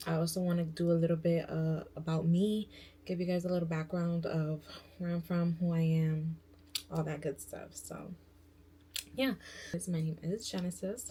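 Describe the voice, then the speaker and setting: A woman with an American accent speaks at a moderate pace, her voice fairly low, somewhat breathy and dark and mellow in tone. Her intonation is fairly even, and she takes long, frequent pauses. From New York. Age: 20s. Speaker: beauty and lifestyle vlogger. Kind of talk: casual vlog intro. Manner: casual, filler-heavy.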